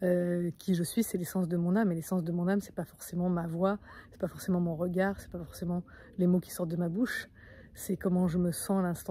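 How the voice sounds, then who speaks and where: Fairly quick speech in a dark, mellow, somewhat breathy tone, with big swings in loudness. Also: woman. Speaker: spiritual coach. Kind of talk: vlog monologue. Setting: outdoors in nature. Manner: fast; energetic.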